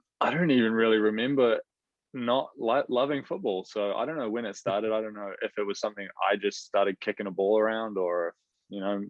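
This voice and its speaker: A man is talking in a New Zealand accent. His pitch is fairly low. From New Zealand, Rotorua. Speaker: professional footballer. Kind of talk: casual interview chat.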